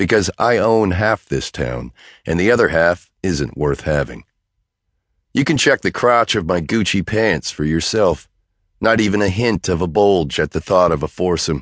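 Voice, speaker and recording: Over a quiet background, a man with a very deep, low pitch and vocal fry talks at a moderate pace with lively intonation, the sound dry and close with no echo. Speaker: audiobook narrator. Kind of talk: dramatic first-person audiobook narration. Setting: studio. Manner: brash, cocky, swaggering.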